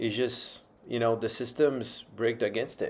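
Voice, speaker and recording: Captured in a very clean recording with a silent background, a man speaks with a Portuguese accent. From Brazil. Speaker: vlogger. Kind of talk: casual monologue.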